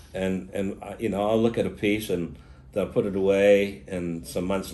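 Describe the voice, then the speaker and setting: Talking at a fairly quick pace, a man with a very deep, low voice and a dark, mellow tone keeps his intonation fairly even, with audible room echo. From Australia. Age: 70s. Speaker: opal miner and dealer. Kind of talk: interview. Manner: halting.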